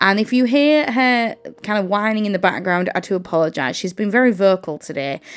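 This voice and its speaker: A woman in a northern English accent speaks at a fairly quick pace, with medium pitch and lively intonation. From northern England, Hull, Yorkshire. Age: 20s. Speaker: journaling content creator and English teacher. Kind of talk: casual craft vlog chat. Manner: hesitant, many ums and uhs.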